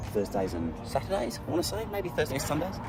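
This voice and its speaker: Music plays in the background, with audible room echo. A man with an Australian accent speaks with very wide pitch swings. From Australia, Sydney. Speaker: vlogger. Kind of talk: casual walking vlog monologue. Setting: outdoors, walking. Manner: conversational.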